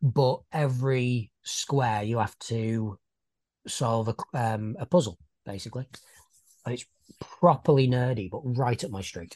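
The speaker has a British accent and a fairly slow pace. Pauses are long and frequent. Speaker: podcast co-host. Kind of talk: casual chat.

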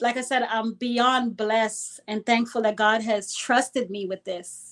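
Woman with a high pitch, fairly even intonation and a fairly slow pace. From Brooklyn, New York (born in Guyana). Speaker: anti-gun-violence activist. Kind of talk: casual interview.

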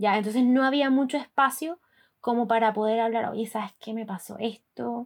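In a normal speaking voice, a woman with a fairly high pitch talks at a moderate pace with fairly even intonation. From Colombia, Barranquilla. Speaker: podcast host. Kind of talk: casual chat.

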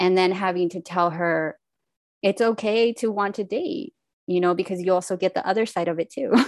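A woman speaks in a normal speaking voice, medium in pitch with ordinary pitch variation. Her pace is fairly quick, and the sound is dry and close with no echo. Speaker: podcast host. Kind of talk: podcast interview.

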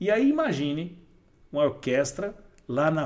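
A man speaks with a fairly high pitch. His tone is animated. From Brazil, Diadema (São Paulo). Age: 40s. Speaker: entrepreneur, NGO founder. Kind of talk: casual interview.

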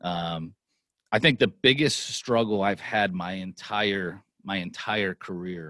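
A man with an American accent speaks at a very slow pace, his very deep, low voice carrying a bright, sharp tone and ordinary pitch variation. The recording is very clean and dry, with a close sound, no echo and a silent background. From Pennsylvania, Lancaster. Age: 40s. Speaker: sports executive and entrepreneur. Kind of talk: interview, life story.

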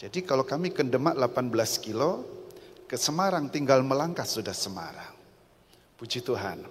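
Here a woman with a very deep, low voice speaks at a moderate pace, her pitch swinging very widely. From Central Java, Rembang. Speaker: pastor. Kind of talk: sermon. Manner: animated.

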